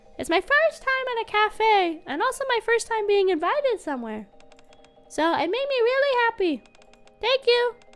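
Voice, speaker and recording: A woman in a put-on character voice at an extremely high pitch, moderate pace and long, frequent pauses, with music in the background. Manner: sweet, grateful.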